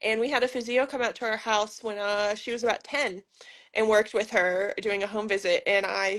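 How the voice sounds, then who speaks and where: A woman with a normal speaking voice, fairly high pitch and fairly even intonation, against a quiet background. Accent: American. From United States. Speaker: physiotherapist. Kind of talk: casual interview.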